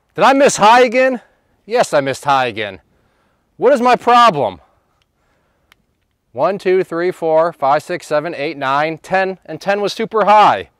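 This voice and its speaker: A man speaks at a high pitch with very wide pitch swings, at a fairly slow pace with long, frequent pauses. The recording is very clean with a silent background, and the sound is dry and close with no echo. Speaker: gun channel host. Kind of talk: casual range commentary. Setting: outdoor shooting range. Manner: loud, yelling with ear protection on; hesitant, many fillers.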